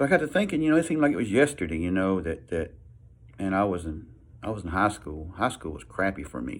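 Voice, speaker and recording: He talks at a very fast pace. His very deep, low voice swings very widely in pitch. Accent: Southern US. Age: 60s. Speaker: vlogger, military veteran. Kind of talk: casual talk to camera. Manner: halting, repeats words.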